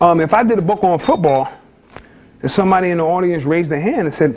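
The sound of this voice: Fast-paced male speech with a high pitch, a slightly mellow tone and ordinary pitch variation.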